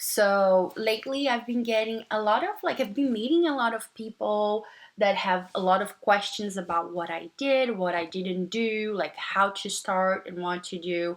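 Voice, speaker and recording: A woman with a Portuguese accent talks at a moderate pace with hardly any pauses, her medium pitch moving in an ordinary way. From Brazil. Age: 30s. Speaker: nursing student vlogger. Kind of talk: casual vlog monologue. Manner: hesitant, many fillers.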